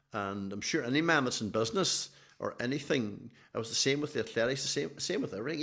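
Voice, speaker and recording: Speaking very fast with a Donegal accent, a man uses a medium pitch and ordinary pitch variation in a very clean recording with a silent background. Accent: Donegal Irish. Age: 70s. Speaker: athletics team manager. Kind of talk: podcast interview.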